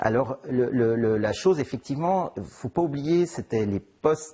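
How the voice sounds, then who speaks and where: The delivery is fairly slow. Intonation rises and falls in a lively way. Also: man. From Geneva area, Switzerland. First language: Italian (speaking French). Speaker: novelist. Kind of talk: interview. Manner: halting, many repetitions and fillers.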